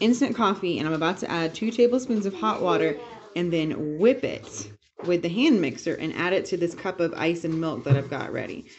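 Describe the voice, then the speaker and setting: Noticeable background noise sits under a woman's fairly low voice. She moves at a fairly quick pace with very wide pitch swings. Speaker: family vlogger. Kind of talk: casual vlog narration.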